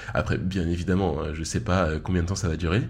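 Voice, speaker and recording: With audible room echo, a man speaks at a moderate pace in a very deep, low pitch with vocal fry. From Paris region. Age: 20s. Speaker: podcast host. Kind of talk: solo podcast monologue. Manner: casual, filler-heavy.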